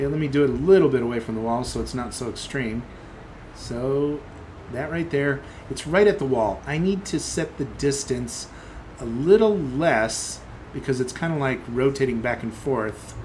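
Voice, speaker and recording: Audible room echo surrounds a man talking at a moderate pace. His pitch is medium with ordinary variation. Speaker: software developer live streamer. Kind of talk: live coding stream commentary. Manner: thinking aloud, halting; mumbling.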